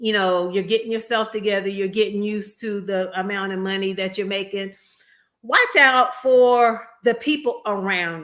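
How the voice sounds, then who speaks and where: Her voice is a plain, everyday voice, medium in pitch with ordinary variation. The woman talks at a moderate pace with big swings in loudness. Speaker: registered nurse and tech livestreamer. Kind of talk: livestream advice talk. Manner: casual, conversational.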